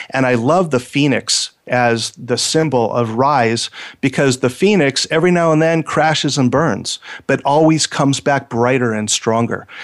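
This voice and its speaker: A man speaks in an American accent at a moderate pace. His pitch varies in an ordinary way, and his loudness stays very even. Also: medium pitch for a man. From Los Angeles, US. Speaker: radio host, counselor and professional speaker. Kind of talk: radio talk show. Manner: hesitant, many fillers.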